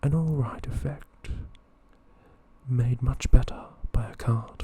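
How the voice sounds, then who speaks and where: Whispering with long, frequent pauses. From Australia. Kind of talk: ASMR card game review. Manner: soft-spoken.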